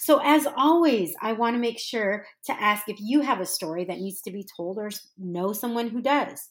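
Here is a plain, everyday voice from a woman with a fairly high pitch. She talks at a moderate pace with big swings in loudness. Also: lively intonation. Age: 40s. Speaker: podcast host. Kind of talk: scripted outro; casual chat.

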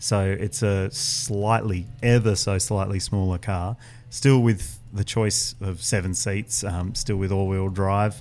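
In an Australian accent, a man speaks at a very slow pace and fairly low pitch, with ordinary pitch variation and hardly any pauses. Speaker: motoring journalist, senior editor. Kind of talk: casual chat.

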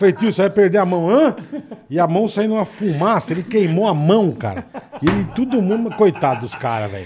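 Amid noticeable background noise, a man with a high pitch talks at a fairly quick pace with lively intonation. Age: 50s. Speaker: podcast co-host. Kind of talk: casual chat.

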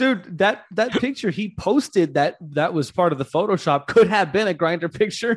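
Here is a man with an American accent and a high pitch. He talks at a moderate pace with lively intonation and hardly any pauses. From Louisiana, Acadiana (Cajun country). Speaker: libertarian activist. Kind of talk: casual chat. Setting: video call.

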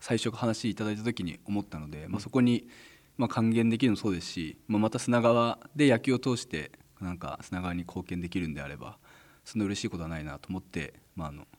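Over a silent background in a very clean recording, a man with a fairly low pitch speaks at a very fast pace, his intonation lively and his loudness swinging widely. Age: 30s. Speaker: baseball team manager. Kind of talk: radio interview.

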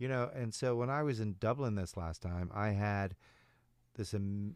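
A man with an American accent and a plain, everyday voice speaks at a moderate pace and fairly low pitch with ordinary pitch variation, on a very clean recording with a silent background. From Chicago. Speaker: improv coach. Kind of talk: casual chat. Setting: studio.

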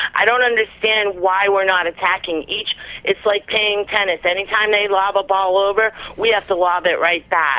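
A woman speaks at a moderate pace and medium pitch in a normal speaking voice. Her loudness stays very even and her intonation fairly even. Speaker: caller. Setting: phone call.

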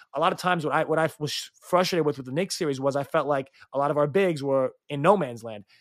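Here a man speaks with an American accent. His pitch is fairly high. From New York City. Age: 20s. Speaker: basketball coach and podcaster. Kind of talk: casual interview chat. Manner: fast, repeats words often.

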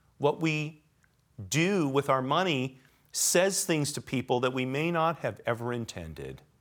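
A man in a Californian accent, fairly high-pitched, at a fairly slow pace. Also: ordinary pitch variation. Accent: Californian American. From Los Angeles. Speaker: podcast host. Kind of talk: interview.

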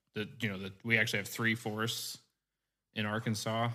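In an American accent, a man speaks with a fairly low pitch, a bright, sharp tone and monotone, flat intonation, in a very clean recording with a silent background. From East Central Missouri. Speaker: wildlife biologist. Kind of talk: casual interview.

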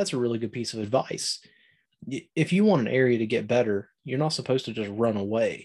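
In an American accent, a man talks at a fairly quick pace with a medium pitch and ordinary pitch variation. It is a normal speaking voice, set against a quiet background. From southern Ohio, Appalachian. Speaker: outdoor podcaster. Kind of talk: casual chat.

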